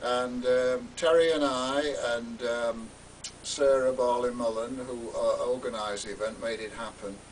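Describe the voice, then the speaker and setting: A man speaks fairly slowly amid noticeable background noise, with echo from the room clearly heard. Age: 70s. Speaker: retired teacher and LGBT campaigner. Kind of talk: unscripted screen test monologue. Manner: halting, many fillers.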